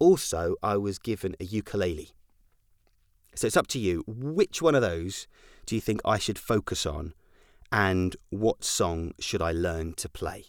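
A man with an American accent has a normal speaking voice, fairly low in pitch, with lively intonation at a fairly slow pace. The recording is very clean with a silent background, dry and close with no echo. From Scotland, with childhood in US and Germany. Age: 30s. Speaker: podcast host. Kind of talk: casual monologue.

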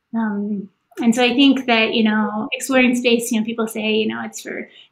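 A woman with an American accent talks at a moderate pace in a fairly high voice, her intonation monotone and flat. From US South, Kentucky. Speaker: planetary scientist. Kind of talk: onstage interview. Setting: festival stage.

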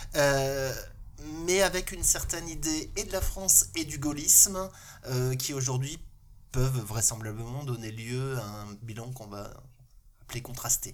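A man's medium-pitched voice at a fairly slow pace, with lively intonation, big swings in loudness, and long, frequent pauses. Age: 50s. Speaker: local elected official. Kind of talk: casual panel discussion.

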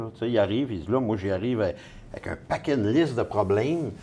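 With a Quebec accent, a man speaks at a fairly quick pace in a fairly low, dark and mellow voice with lively intonation. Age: 50s. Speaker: real estate investor. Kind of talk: casual interview.

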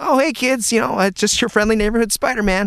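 A woman speaks in a put-on character voice, fairly high-pitched and cheerful, at a very fast pace. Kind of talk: friendly, casual.

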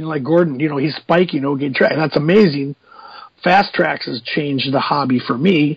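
A plain, everyday voice from a man with an American accent, fairly high in pitch, at a fairly quick pace with ordinary pitch variation. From United States. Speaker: podcast co-host. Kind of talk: casual chat.

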